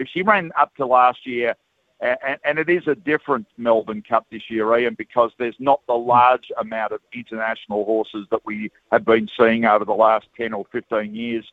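Ordinary pitch variation with an Australian accent. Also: man, medium pitch for a man, moderate pace. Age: 60s. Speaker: horse racing broadcaster. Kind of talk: radio interview. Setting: outdoors at racecourse.

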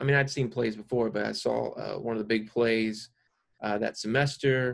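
A man with a normal speaking voice talks at medium pitch and a moderate pace, his intonation fairly even. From South Carolina. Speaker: actor. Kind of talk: casual chat.

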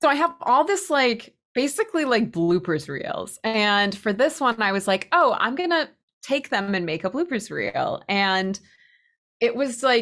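With an American accent, this voice moves at a moderate pace with very wide pitch swings. The recording is very clean and the background silent. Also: woman. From Massachusetts (Spencer, near Worcester). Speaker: pottery teacher. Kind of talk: casual chat.

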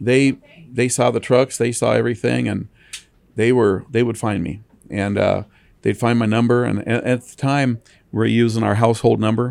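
A man with an American accent and an unremarkable speaking voice, medium in pitch, at a moderate pace with fairly even intonation and big swings in loudness. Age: 60s. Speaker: towing company owner. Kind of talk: interview. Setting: studio.

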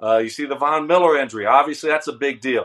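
An ordinary speaking voice, the man's sits fairly high in pitch, with an American accent and ordinary pitch variation. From US South, Louisiana. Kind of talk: casual sports talk interview.

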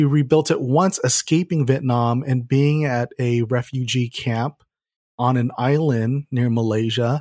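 In a very clean recording with a silent background and a dry, close sound without echo, a man with an American accent talks fairly slowly at medium pitch with fairly even intonation. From Southern California, San Gabriel Valley. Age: 30s. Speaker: marketer and keynote speaker. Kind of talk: interview conversation.

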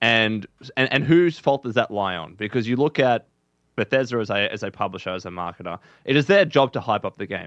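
In an ordinary speaking voice, a man talks at a fairly quick pace and medium pitch with lively intonation, the sound dry and close with no echo. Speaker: Bethesda fan content creator. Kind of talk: casual podcast chat. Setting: video call.

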